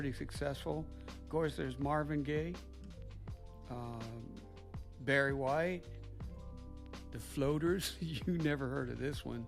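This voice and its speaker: Very slow speech from a man over music in the background. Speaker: grandfather. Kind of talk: interview answer. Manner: casual, nostalgic.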